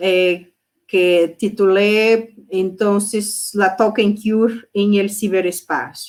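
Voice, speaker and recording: In a Brazilian accent, a woman with a medium pitch speaks at a very slow pace, her intonation monotone and flat and her loudness very even. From Brazil, Porto Alegre (southern Brazil). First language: Portuguese (speaking Spanish). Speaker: psychoanalyst. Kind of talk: lecture. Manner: halting, many fillers.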